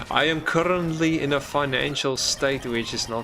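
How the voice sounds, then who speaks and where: An Afrikaans South African accent at a moderate pace, with ordinary pitch variation and noticeable background noise. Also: man. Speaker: gaming streamer. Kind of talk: live gameplay stream commentary. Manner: halting, stumbling over words.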